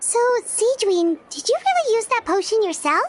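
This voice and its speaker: A woman speaks in a put-on character voice, squeaky and pitched extremely high. Her intonation is lively and her pace moderate. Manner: curious, asking.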